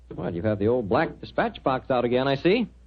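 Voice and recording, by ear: At a fairly quick pace, a man with a medium-pitched voice speaks with big pitch swings.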